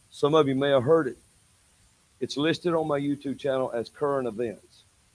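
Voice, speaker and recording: A man with an Alabama accent at a medium pitch. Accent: Southern US (Alabama). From US South, Alabama. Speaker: prophet preacher. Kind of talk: sermon. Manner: animated.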